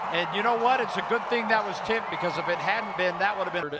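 Noticeable background noise beneath a man's lively intonation. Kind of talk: live play-by-play sports commentary.

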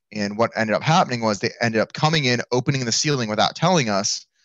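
Over a quiet background, a man speaks with ordinary pitch variation in a dry sound with no echo. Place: home room. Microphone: headset.

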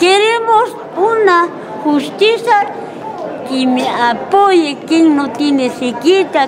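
A woman at a very slow pace with very wide pitch swings, crowd noise in the background. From Moquegua, Peru. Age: 80s+. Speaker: farmer. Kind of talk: interview answer. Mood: aggrieved, pleading. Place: hall. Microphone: handheld.

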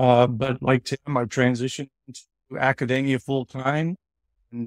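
With fairly even intonation, a man speaks in a dry sound with no echo over a quiet background. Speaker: webinar guest. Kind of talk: interview answer. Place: home room. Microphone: video call.

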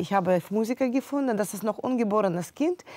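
The woman's intonation is lively, and the sound is dry with no echo over a quiet background. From Ukraine, Kyiv. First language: Russian or Ukrainian (speaking German). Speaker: pianist; interview guest. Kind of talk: interview; interview answer. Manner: halting. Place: studio. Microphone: lapel.

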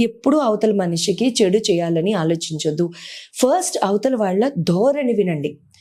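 A woman with a dark, mellow tone speaks at a medium pitch, her intonation lively and her loudness very even. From grew up partly outside Telugu states, moved there at 14. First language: not Telugu (speaking Telugu). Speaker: astrologer and numerologist. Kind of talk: interview advice talk.

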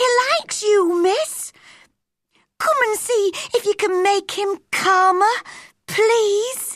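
A woman uses a put-on character voice at an extremely high pitch with a fairly bright tone. She speaks slowly, with ordinary pitch variation.

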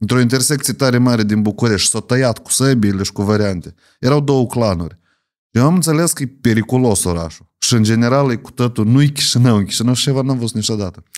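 This man has a normal speaking voice at a medium pitch, moving at a fairly quick pace. His pitch varies in an ordinary way, and the background is quiet. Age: 30s. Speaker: podcast host. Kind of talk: interview. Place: studio. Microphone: studio mic.

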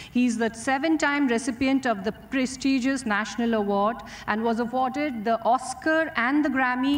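A woman's high voice keeps a fairly even intonation. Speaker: event emcee. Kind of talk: formal announcement. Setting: stage with audience. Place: stage. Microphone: podium.

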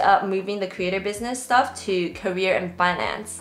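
Audible room echo surrounds a voice moving at a moderate pace with ordinary pitch variation. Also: woman. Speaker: productivity creator. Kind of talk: tutorial. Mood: friendly, upbeat. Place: home room.

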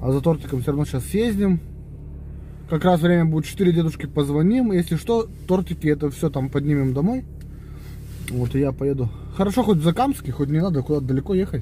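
The sound is dry, without echo, and light background noise sits underneath. A man speaks fairly quickly. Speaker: family vlogger. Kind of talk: casual vlog chat. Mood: relaxed, planning errands. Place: car. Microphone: phone near.

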